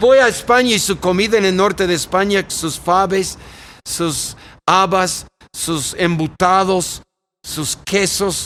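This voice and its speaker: A man with an American accent talks at a very slow pace in a high pitch. His tone is bright and sharp, and his pitch varies in an ordinary way. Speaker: pastor. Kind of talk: interview.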